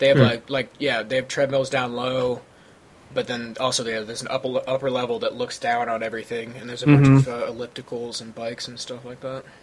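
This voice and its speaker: A man with an American accent, monotone and flat in intonation, with big swings in loudness and noticeable background noise. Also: medium pitch for a man, moderate pace. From St. Louis, Missouri. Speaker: podcast co-host. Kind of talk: casual, joking conversation.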